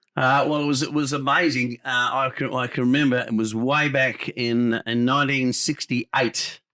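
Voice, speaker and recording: In an Australian accent, the speaker talks at a moderate pace with flat, monotone intonation, a bright, sharp tone and very even loudness, in a dry, close sound with no echo. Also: man, medium pitch for a man. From Adelaide, South Australia. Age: 80s+. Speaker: former football umpire and sports radio host. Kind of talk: interview.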